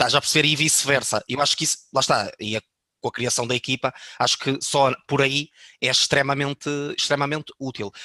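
In a dry, close recording with no echo, a man talks at a fairly quick pace with a fairly high pitch and a bright, sharp tone. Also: fairly even intonation. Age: 20s. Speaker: online fitness coach. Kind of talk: casual chat.

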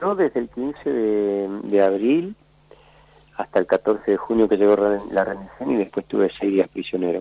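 A man speaks at a fairly slow pace with a fairly low pitch and ordinary pitch variation. His is an unremarkable speaking voice. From Argentina, Buenos Aires area. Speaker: war veteran and former footballer. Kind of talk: interview testimony.

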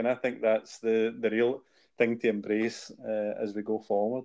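A man with a Glasgow accent speaks at a fairly slow pace with a medium pitch and a dark, mellow tone. The recording is very clean, with a silent background. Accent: Scottish (Glasgow area). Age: 50s. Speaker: podcast co-host, charity founder. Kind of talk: casual chat.

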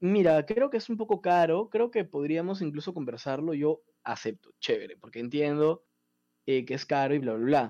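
A man with a fairly high voice and a dark, mellow tone, lively intonation, a moderate pace and a quiet background. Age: 20s. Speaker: university student. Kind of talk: casual chat.

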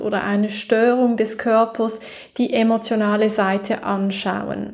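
A fairly slow pace with a calm, soothing tone and monotone, flat intonation. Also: woman. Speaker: podcast host and holistic coach. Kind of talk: guided meditation. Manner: slow, soft, calm and soothing, with long pauses; gentle, intimate, directly addressing the listener as 'du'.

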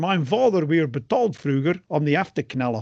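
A man at a fairly slow pace, high in pitch, with very wide pitch swings. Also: quiet background. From England. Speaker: podcast co-host. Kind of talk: casual chat.

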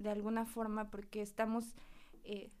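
A woman speaks with medium pitch. Her pace is moderate. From Mexico, Huauchinango, Puebla. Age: 20s. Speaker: psychotherapist. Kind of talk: casual interview chat.

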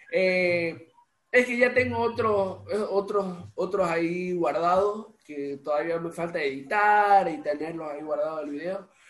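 Speaking at a fairly slow pace, a man uses a high pitch and lively intonation. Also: big swings in loudness. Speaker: podcast host and musician. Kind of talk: casual interview chat. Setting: home recording.

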